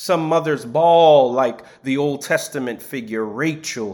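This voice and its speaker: Very slowly, a man speaks with lively intonation. The recording is very clean, with a silent background. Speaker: preacher. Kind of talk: sermon, homily in a church service. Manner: measured, formal pulpit delivery.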